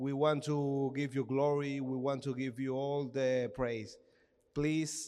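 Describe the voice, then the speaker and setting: A man's very slow, monotone delivery in a Spanish accent, medium in pitch and flat in intonation. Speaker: pastor's brother. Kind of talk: prayer. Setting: church with congregation.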